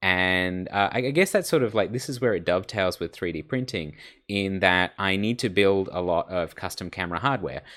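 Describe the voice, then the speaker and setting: Here a man speaks with a fairly low pitch. His pace is fairly quick, with ordinary pitch variation. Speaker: online course instructor and researcher. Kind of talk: online lecture. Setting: online class recording. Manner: casual, filler-heavy.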